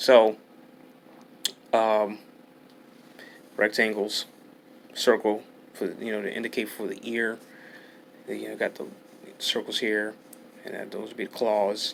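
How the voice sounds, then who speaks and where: Mumbling at a fairly slow pace, a man with a fairly low pitch speaks in a monotone, flat way with big swings in loudness. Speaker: art tutorial youtuber. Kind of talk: tutorial. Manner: halting.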